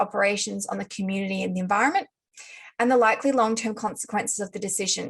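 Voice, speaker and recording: Somewhat breathy and fairly high-pitched, a woman speaks in an Australian accent. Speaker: lawyer. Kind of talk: conference panel talk. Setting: video call. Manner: formal.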